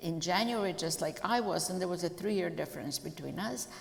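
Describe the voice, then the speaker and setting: A woman with a fairly low voice and lively intonation speaks over noticeable background noise, with audible room echo. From Croatia (Zagreb, former Yugoslavia). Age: 70s. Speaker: Holocaust survivor. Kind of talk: testimony interview. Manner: halting, many fillers.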